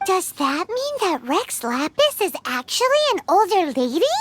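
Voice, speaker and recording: Squeaky and extremely high, a put-on character voice moves at a moderate pace with very wide pitch swings. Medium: video game. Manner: chatty, casual.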